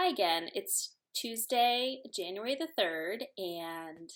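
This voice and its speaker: The woman talks very slowly. Her pitch moves in a lively way. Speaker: knitting podcaster. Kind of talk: casual vlog talk.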